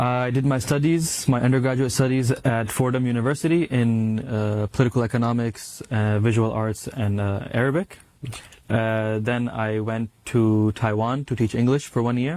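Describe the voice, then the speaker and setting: Over noticeable background noise, a man with a New York accent speaks at a moderate pace, medium in pitch, with fairly even intonation. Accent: New York American. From US, New York. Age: 20s. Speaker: graduate student in Islamic studies. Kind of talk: interview testimony. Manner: halting.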